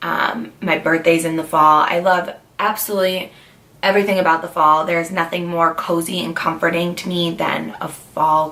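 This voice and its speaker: Noticeable background noise sits under a woman's fairly low voice. She keeps a moderate pace and fairly even intonation. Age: 20s. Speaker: lifestyle vlogger. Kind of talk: casual vlog talk. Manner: chatty, filler words.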